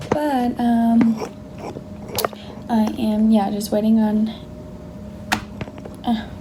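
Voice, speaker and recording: A quiet woman's voice, fairly high in pitch, at a very slow pace with long, frequent pauses and monotone, flat intonation, amid noticeable background noise and audible room echo. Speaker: lifestyle vlogger. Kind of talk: casual vlog. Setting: office at work. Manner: quiet, low volume.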